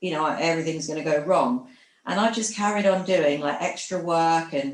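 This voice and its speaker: At a moderate pace, a woman with a fairly low pitch speaks in a sing-song way with ordinary pitch variation. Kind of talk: group therapy sharing.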